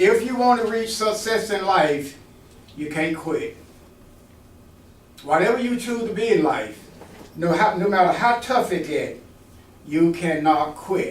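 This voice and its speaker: A man speaks at a high pitch, with lively intonation and an animated tone. His pace is fairly slow, with long, frequent pauses and audible room echo. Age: 80s+. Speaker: retired Air Force veteran, mentoring speaker. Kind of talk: motivational talk to college students. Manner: animated, engaging audience.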